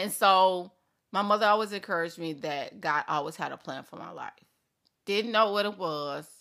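A woman's bright, sharp voice shows ordinary pitch variation and big swings in loudness in a very clean recording with a silent background. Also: medium pitch for a woman. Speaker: podcast host and coach. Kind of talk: solo podcast monologue with faith talk. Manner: fast talker, somewhat mumbled.

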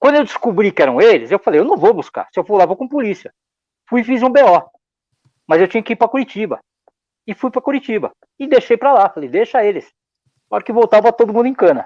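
Speaking at a very fast pace yet with long, frequent pauses, a man uses lively intonation and a high pitch. The sound is dry and close, with no echo. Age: old. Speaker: drum maker. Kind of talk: casual interview. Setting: live stream.

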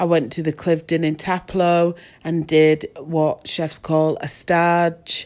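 At a very slow pace, a woman speaks in a fairly low, monotone, flat voice. The recording is very clean with a silent background. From Manchester, England. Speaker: podcast host, entrepreneur and former chef. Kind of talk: solo reflective monologue. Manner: halting, many restarts and fillers.

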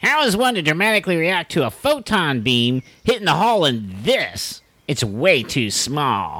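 Very wide pitch swings mark this put-on character voice at a middle pitch. The recording is very clean, with a silent background. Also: moderate pace. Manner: dry, mildly sarcastic.

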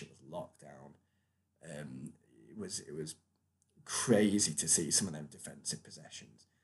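At a moderate pace, a man speaks in a British accent. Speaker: sports podcast host. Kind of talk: solo podcast recap. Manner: hesitant, many fillers.

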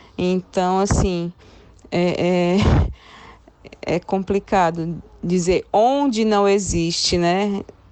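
A woman at medium pitch speaks at a very slow pace with long, frequent pauses and ordinary pitch variation. Her loudness stays very even against noticeable background noise. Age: 30s. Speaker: journalist and radio presenter. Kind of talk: casual chat.

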